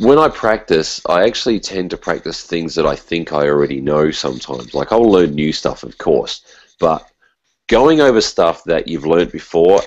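With an Australian accent, a man speaks in a very deep, low pitch at a moderate pace. His intonation is lively, and the background is quiet. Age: 40s. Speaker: musician and teacher; teacher. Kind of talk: casual interview. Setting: video call. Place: kitchen. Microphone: video call.

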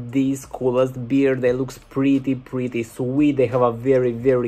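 Flat, monotone intonation from a male speaker at a moderate pace. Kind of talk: commentary. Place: home room. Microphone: webcam.

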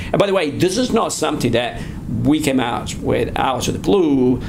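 With an Italian accent, a man speaks with ordinary pitch variation against noticeable background noise. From Italy. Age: 50s. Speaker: asset management firm founder and research director. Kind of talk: interview. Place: office.

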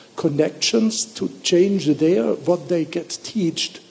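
A man's slow delivery, dark, mellow tone with a husky, rough edge, vocal fry, and ordinary pitch variation

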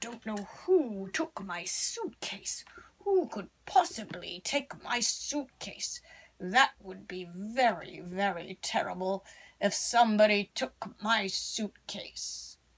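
A put-on character voice, female-sounding, fairly high-pitched for a woman, at a fairly slow pace. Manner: pompous, self-satisfied.

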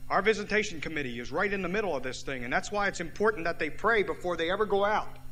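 With music in the background, a high-pitched man talks at a very fast pace with ordinary pitch variation. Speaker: pastor. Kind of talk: sermon. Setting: church. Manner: fervent, rousing pulpit delivery with ecstatic hallelujahs.

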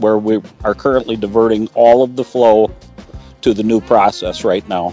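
Faint music plays behind a man who talks at a moderate pace with fairly even intonation in a dry sound with no echo. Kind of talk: interview answer. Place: open country.

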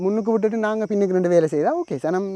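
A man speaks with a Jaffna accent and ordinary pitch variation. His tone is dark and mellow. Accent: Sri Lankan Jaffna Tamil. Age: 30s. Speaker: YouTube commentator. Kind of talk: monologue commentary.

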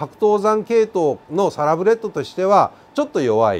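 The speaker is a man. His pitch is high for a man. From Kansai, Japan (Zainichi Korean). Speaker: North Korean defector and commentator; commentator. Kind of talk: explainer talk to camera. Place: studio. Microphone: lapel.

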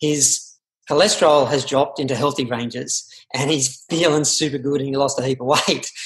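Against a quiet background, a somewhat breathy man speaks at a moderate pace with a fairly high pitch and fairly even intonation. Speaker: interview host. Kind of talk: podcast interview intro. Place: home room. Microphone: webcam.

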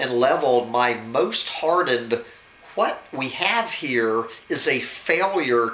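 Intonation rises and falls in a lively way. It belongs to a natural reading voice.

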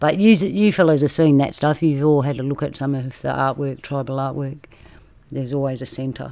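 A woman's very deep, low voice with a dark, mellow tone, ordinary pitch variation and a fairly quick pace. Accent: Australian. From Australia. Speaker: roundtable host. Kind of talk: casual group discussion. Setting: video call.

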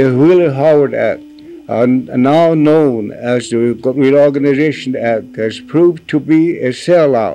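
Speaking at a very slow pace, a man with a dark, mellow tone and fairly high pitch shows ordinary pitch variation over light background noise. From US Midwest, Pine Ridge Reservation, South Dakota; South Dakota. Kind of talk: reading aloud; reading a formal letter. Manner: halting. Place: home room.

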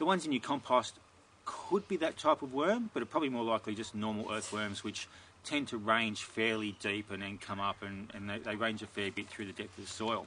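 A man speaks at a fairly quick pace with a fairly low pitch. His tone is bright and sharp, and his intonation is fairly even.

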